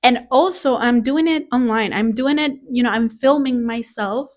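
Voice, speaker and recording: Here a woman with a non-native accent speaks at a fairly slow pace. The recording is very clean, with a silent background. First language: not English. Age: 30s. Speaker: beginner art vlogger. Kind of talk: casual vlog monologue. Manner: halting, repeats words.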